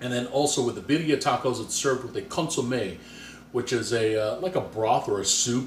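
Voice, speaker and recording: A somewhat breathy man speaks with ordinary pitch variation. Audible room echo fills the recording. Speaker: cooking video host. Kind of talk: cooking tutorial. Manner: casual, conversational.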